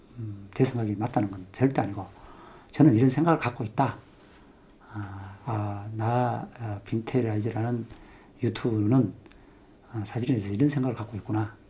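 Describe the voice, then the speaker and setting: A man's somewhat breathy voice of medium pitch, dark and mellow in tone, with fairly even intonation, big swings in loudness and long, frequent pauses. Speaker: photography youtuber. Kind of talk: casual monologue on photography. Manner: fast; hesitant, many fillers.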